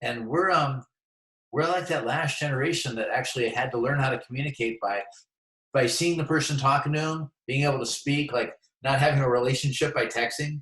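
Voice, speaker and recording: A man with a normal speaking voice talks at a fairly quick pace in a fairly high pitch, keeping his intonation fairly even. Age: 60s. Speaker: transportation business owner. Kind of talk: casual chat. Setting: video call.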